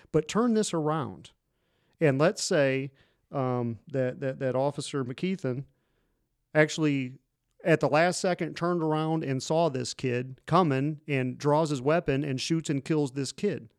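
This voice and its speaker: In a plain, everyday voice, a man speaks at a fairly slow pace with a fairly high pitch and ordinary pitch variation. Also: very clean recording, silent background. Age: 40s. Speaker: police officer and podcast host. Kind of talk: casual chat.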